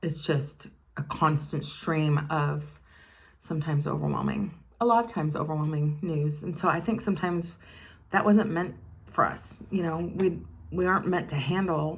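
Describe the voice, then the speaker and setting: In a room with audible echo, a woman with a very deep, low pitch speaks at a moderate pace, somewhat breathy, with ordinary pitch variation. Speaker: beauty vlogger. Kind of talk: casual chat.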